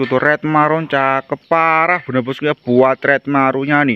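An animated tone from a man, with a dry sound and no echo. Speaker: online plant seller. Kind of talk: street-seller style sales pitch. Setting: video channel, plants shown to camera. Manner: fast, repetitive; animated, hard-sell. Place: garden. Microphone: phone near.

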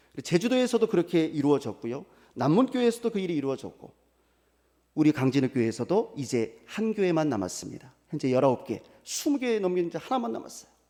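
A man speaks at a fairly quick pace in a high pitch, his tone animated. His pitch swings very widely. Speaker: pastor. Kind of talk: sermon. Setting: church.

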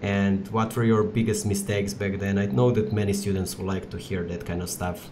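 Over noticeable background noise, a man with a fairly low pitch talks at a fairly quick pace with hardly any pauses and fairly even intonation. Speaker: podcast host. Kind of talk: casual chat. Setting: video call.

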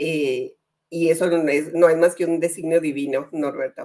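A woman with a fairly low pitch speaks at a fairly slow pace in a plain, everyday voice. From northern Mexico, Comarca Lagunera (Torreón). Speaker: journalist and life coach. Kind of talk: casual interview.

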